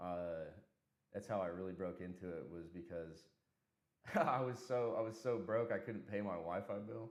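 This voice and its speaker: With an American accent, a man speaks in a very deep, low voice. He leaves long, frequent pauses, and room echo is audible. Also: ordinary pitch variation, moderate pace. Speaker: software engineer. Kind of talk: casual chat. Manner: casual, filler-heavy.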